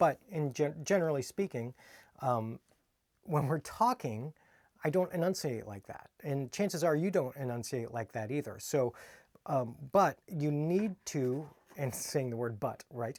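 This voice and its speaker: With an American accent, a man of fairly high pitch speaks at a fairly slow pace using lively intonation, the sound dry and close with no echo. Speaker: kung fu instructor. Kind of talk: casual video talk. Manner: relaxed, not over-enunciated.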